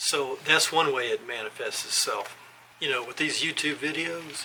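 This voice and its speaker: A man speaks at a fairly high pitch with fairly even intonation. Noticeable background noise runs underneath. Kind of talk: scripted talk to camera. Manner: slow; halting.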